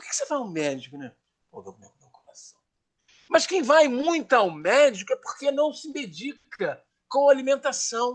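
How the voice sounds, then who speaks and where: A man speaks at a moderate pace in an extremely high pitch. His tone is animated and his intonation lively. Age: 70s. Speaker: radio show panelist. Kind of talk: casual chat.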